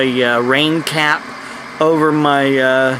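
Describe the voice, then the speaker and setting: Over noticeable background noise, a man with an American accent speaks in a fairly high, monotone voice with flat intonation. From United States. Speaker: preacher. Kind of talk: casual talk to camera.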